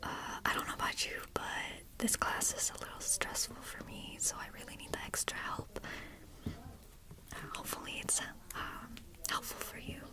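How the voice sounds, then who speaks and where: A woman whispers with big swings in loudness. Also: moderate pace. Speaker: college student; retail worker. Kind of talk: ASMR study session, whispered talk to camera. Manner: whispered, soft-spoken. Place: home room. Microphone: earbuds.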